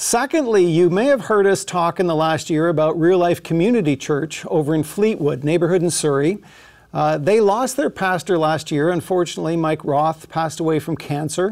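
This man's voice is high-pitched, moving at a moderate pace over a quiet background. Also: ordinary pitch variation. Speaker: pastor. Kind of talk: church announcements before sermon. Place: studio. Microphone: lapel.

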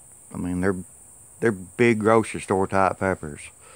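A relaxed speaker with a Tennessee accent, the intonation fairly even. The sound is dry, with no echo. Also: man. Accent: US Southern (Tennessee). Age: 50s. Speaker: gardener vlogger. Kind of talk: casual vlog talk to camera. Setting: outdoors. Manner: relaxed, folksy with many fillers. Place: farm machine. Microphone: phone near.

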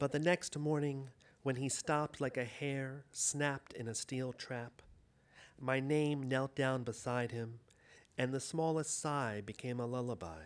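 Pitch rises and falls in an ordinary way here. The delivery is fairly slow. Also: man. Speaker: poet. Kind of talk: poetry reading with chatty intros. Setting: live audience in a room. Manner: conversational, warm, then quiet and intimate when reading. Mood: gentle, reflective. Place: hall. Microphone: podium.

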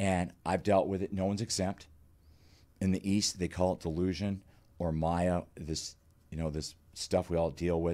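At a moderate pace broken by long, frequent pauses, a man speaks in a very deep, low pitch with a dark, mellow tone and monotone, flat intonation. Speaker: clinical psychologist and author; guest. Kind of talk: interview. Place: studio. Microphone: studio mic.

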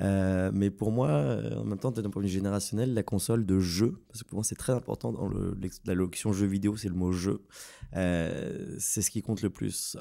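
In a very clean recording with a silent background, a man with a Parisian accent speaks fairly slowly in a fairly low, dark, mellow voice with ordinary pitch variation. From France, Paris. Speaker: graphic designer in game business development. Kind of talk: casual podcast discussion.

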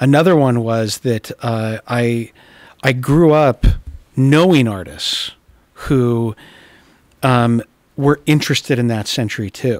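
A man's medium-pitched voice with an American accent, very slow pace, long and frequent pauses, dry sound with no echo, and a quiet background. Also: ordinary pitch variation. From Utah. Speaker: art dealer and art historian; guest. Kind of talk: casual chat. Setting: art gallery. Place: hall. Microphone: studio mic.

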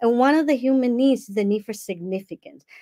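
A woman with a Dominican accent speaks with ordinary pitch variation against a quiet background. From Dominican Republic. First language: Spanish. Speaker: life coach and summit speaker; speaker, coach, guest. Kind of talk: online summit talk. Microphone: earbuds.

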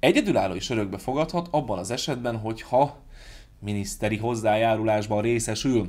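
A man talks at a fairly quick pace, with pitch that varies in an ordinary way. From Hungary. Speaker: YouTuber. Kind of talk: vlog monologue. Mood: sarcastic, critical. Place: home room.

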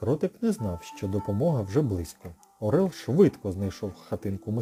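This is a natural reading voice. It is delivered that way throughout.

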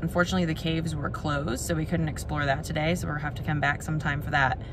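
This woman's recording sounds dry with no echo, though noticeable background noise comes through. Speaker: travel vlogger. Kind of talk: casual vlog chat. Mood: relaxed, content. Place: car. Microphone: phone near.

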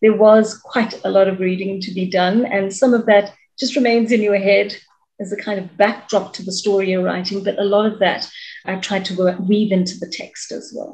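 At a moderate pace, a woman speaks with medium pitch, a somewhat breathy quality, fairly even intonation and big swings in loudness. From South Africa, Durban (Chatsworth); South Africa. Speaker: author and media personality. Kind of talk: interview; interview answer. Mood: engaged, thoughtful. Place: home room. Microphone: video call.

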